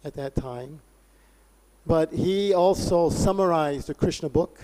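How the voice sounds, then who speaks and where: On a very clean recording with a silent background and a dry, close sound with no echo, a man speaks at a fairly high pitch with a dark, mellow tone and fairly even intonation. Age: 60s. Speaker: religious lecturer. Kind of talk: lecture.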